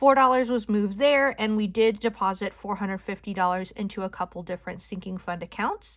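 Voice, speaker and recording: A woman's plain, everyday voice, fairly quick in pace, medium in pitch, with ordinary pitch variation. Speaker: budgeting YouTuber. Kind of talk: casual budget walkthrough. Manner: casual, chatty.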